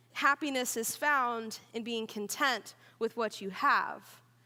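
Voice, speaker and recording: A woman with an American accent speaks in a raised, projected voice at a fairly slow pace, her tone animated, bright and sharp, with ordinary pitch variation. The recording is very clean, with a silent background. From Oklahoma. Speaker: student pastor. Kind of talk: sermon. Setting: church.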